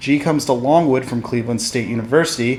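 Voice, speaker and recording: Against noticeable background noise, a man with a medium-pitched voice talks at a fairly quick pace with ordinary pitch variation. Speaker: news and sports reporter. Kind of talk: broadcast news reporting. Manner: clear, professional news anchor delivery.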